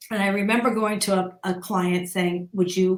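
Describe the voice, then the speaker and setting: The woman's voice is medium-pitched and somewhat breathy. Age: 60s. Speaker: business executive and women's advocate. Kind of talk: interview storytelling. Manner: animated.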